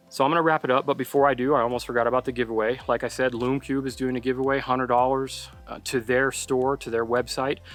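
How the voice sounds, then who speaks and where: Music plays in the background while a man talks at a very fast pace with hardly any pauses. His intonation is monotone and flat. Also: medium pitch for a man. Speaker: landscape photographer and youtuber. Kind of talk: vlog tutorial outdoors. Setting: outdoors at sunset. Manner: rushed, fast.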